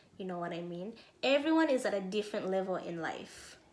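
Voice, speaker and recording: There is audible room echo around a woman's voice. She speaks at a moderate pace with lively intonation. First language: not English. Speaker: self-help YouTuber. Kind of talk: motivational talk.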